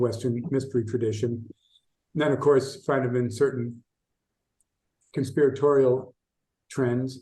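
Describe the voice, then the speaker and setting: Speaking with an American accent, a man with a somewhat breathy, dark, mellow tone and medium pitch keeps a monotone, flat intonation and leaves long, frequent pauses. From US Midwest, Chicago. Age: 60s. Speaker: esoteric researcher and writer. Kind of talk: podcast interview.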